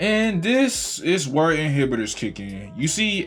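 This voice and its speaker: Very wide pitch swings from a man, with music in the background. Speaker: game reviewer. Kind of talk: casual game review to camera.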